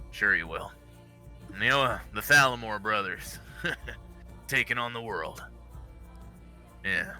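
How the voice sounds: A gruff, put-on character voice speaks at a moderate pace with long, frequent pauses. Clear music plays in the background. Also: man.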